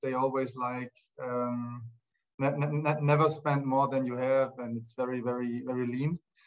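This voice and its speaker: A man speaks in a Swabian accent at a medium pitch. His pace is moderate and his intonation monotone and flat. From southern Germany, near Stuttgart (Swabia). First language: German. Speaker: speaker sharing his career story. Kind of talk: personal story talk in an online session. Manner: halting, many repetitions and fillers.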